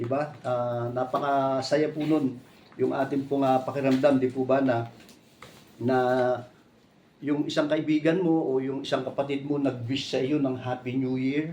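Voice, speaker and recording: A man speaks at a fairly slow pace in a dark, mellow tone with monotone, flat intonation, and audible room echo surrounds him. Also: medium pitch for a man. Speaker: preacher. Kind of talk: sermon. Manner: conversational, many fillers.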